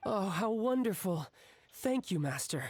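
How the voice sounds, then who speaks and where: A raspy, put-on character voice, female-sounding, medium in pitch for a woman, at a fairly slow pace. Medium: video game. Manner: deferential.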